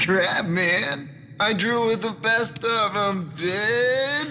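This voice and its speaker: A man's high, raised, projected put-on character voice in a Californian accent, very slow, with light background noise. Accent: Californian valley. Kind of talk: slangy, casual.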